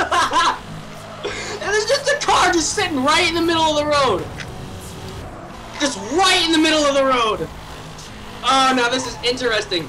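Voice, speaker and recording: A woman speaks in a raised, projected voice with lively intonation at a moderate pace, pausing long and often. Light background noise is present. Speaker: gamer. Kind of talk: casual gameplay commentary.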